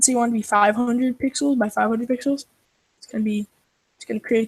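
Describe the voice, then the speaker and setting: Very fast and fairly high, a woman talks in a monotone, flat intonation while her loudness swings widely, the sound dry and close with no echo. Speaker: programmer co-host. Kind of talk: coding tutorial.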